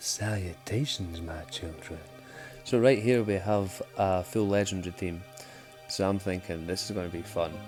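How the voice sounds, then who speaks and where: With music in the background, a man in a Scottish accent speaks at a moderate pace with a very deep, low pitch. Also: ordinary pitch variation. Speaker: gaming YouTuber. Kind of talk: gameplay commentary. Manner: casual, sweary.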